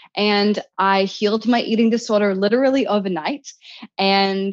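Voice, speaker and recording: With a New Zealand accent, a woman speaks at a moderate pace. Her pitch is fairly high. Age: 30s. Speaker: self-help author. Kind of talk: interview.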